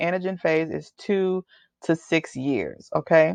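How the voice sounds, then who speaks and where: A woman with a slight Texas accent speaks at a fairly low pitch with ordinary pitch variation. The sound is dry and close with no echo against a quiet background. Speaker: hair loss coach. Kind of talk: webinar presentation. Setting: webinar. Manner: casual, conversational.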